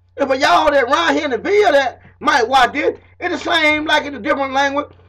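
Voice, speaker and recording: A man with a Southern accent talks at a very fast pace in a raised, projected voice of extremely high pitch. His tone is animated, with ordinary pitch variation. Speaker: self-taught history lecturer. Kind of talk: informal lecture to camera.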